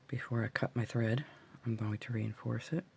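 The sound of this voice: At a moderate pace, a woman speaks with an extremely low, gravelly voice that has vocal fry, a husky, rough edge and little pitch movement. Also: slightly mellow tone.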